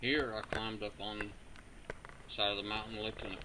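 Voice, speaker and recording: In a room with audible echo and noticeable background noise, a man with an American accent speaks at a fairly low pitch. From southern West Virginia. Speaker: metal detecting hobbyist. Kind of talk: video narration. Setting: outdoors.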